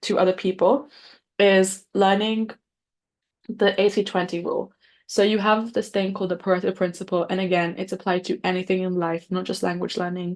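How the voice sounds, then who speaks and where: The delivery is monotone and flat at a moderate pace, with a quiet background. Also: woman. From English-speaking country. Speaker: podcast host. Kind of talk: solo podcast monologue. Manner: casual, conversational.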